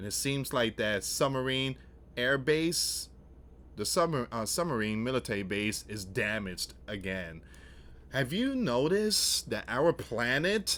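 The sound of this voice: A man's medium pitch with big pitch swings, a fairly bright tone and a fairly slow pace.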